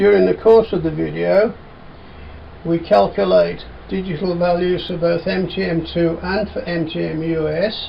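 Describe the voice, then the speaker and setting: With a Birmingham accent, a man talks over noticeable background noise. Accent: Brummie. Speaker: industrial engineering instructor. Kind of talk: tutorial presentation. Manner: clear, deliberate.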